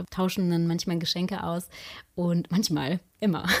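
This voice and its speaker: In a normal speaking voice of medium pitch, a woman talks at a moderate pace on a very clean recording with a silent background. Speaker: podcaster. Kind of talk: casual chat.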